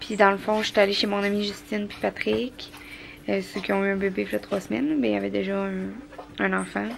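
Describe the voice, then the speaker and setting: A woman's very deep, low voice with very wide pitch swings at a fairly quick pace, over noticeable background noise. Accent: Quebec. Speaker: vlogger. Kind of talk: casual vlog talk to camera. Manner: fast.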